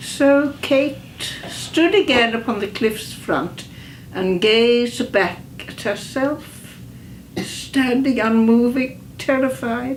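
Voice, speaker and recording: A breathy put-on character voice at a very slow pace, with clear background noise. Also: woman, high pitch for a woman. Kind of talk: poetic literary reading. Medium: read story. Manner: breathy, rhythmic, gasping.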